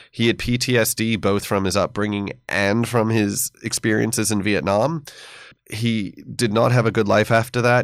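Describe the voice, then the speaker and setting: At a moderate pace, a man with an American accent and an unremarkable speaking voice talks in a fairly low pitch with fairly even intonation. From United States. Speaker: history professor. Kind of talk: interview. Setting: studio.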